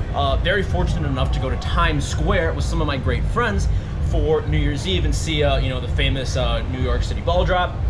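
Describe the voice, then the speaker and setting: With music in the background, a man talks at a fairly quick pace. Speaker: travel vlogger. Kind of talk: casual vlog chat. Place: boat. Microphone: phone near.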